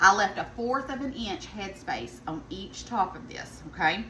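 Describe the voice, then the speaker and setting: A woman with a Southern US accent at a fairly slow pace, with audible room echo and noticeable background noise. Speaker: home cook vlogger. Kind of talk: cooking tutorial. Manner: casual, chatty.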